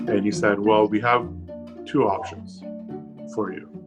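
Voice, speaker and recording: Music plays in the background behind a man whose pitch is fairly low. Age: 40s. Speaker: COVID-19 survivor. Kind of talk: testimony.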